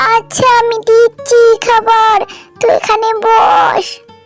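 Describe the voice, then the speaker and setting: A cartoonish character voice carries the speech. Faint music plays in the background. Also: woman, extremely high pitch for a woman. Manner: fussing, affectionate.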